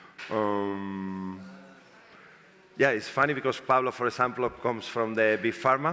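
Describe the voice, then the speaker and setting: With a Spanish accent, a man talks at a medium pitch with ordinary pitch variation. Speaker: panel moderator. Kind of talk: panel discussion. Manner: halting.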